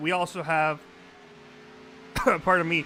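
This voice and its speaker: A man with a Spanish accent, fairly high-pitched and at a fairly slow pace, over noticeable background noise. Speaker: sim racing commentator and producer. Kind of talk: live commentary.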